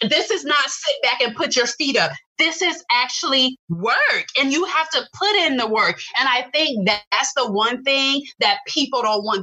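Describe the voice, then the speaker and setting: With an American accent, a woman speaks fairly slowly in a raised, projected, high voice, her pitch swinging very widely while her loudness stays very even. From Tampa, Florida. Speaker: video strategist and entrepreneur. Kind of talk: casual interview chat.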